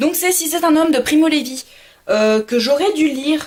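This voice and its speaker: Her pitch is high, and she speaks at a fairly slow pace. The woman's intonation is lively. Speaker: book vlogger. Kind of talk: casual talk to camera.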